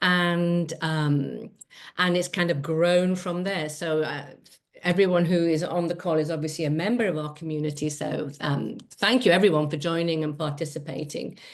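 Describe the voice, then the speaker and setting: The voice carries a southern English accent and fairly even intonation. Audible room echo surrounds it. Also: woman, fairly low pitch for a woman, moderate pace. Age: 60s. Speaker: travel community founder. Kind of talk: casual chat.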